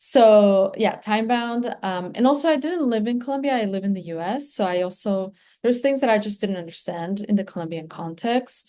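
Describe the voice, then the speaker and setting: Barely pausing, a woman with a Spanish accent and fairly high pitch talks at a moderate pace with lively intonation. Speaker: graduate student. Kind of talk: presentation. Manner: halting, many fillers.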